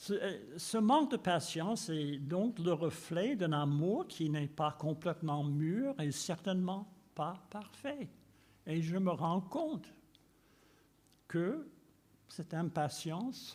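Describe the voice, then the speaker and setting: A man talks at a very slow pace with long, frequent pauses. His voice is high-pitched for a man, and his intonation is lively. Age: 80s+. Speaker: preacher. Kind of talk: sermon.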